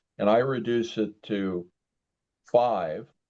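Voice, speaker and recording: A man speaks with a dark, mellow tone. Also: quiet background. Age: 70s. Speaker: hypnotist giving a talk. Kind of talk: talk with guided exercise.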